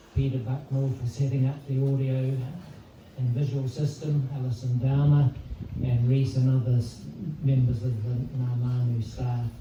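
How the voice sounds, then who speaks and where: Soft-spoken and fairly slow, this voice has a New Zealand accent and monotone, flat intonation. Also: man. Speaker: eulogist. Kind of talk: eulogy. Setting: memorial service with audience. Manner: formal.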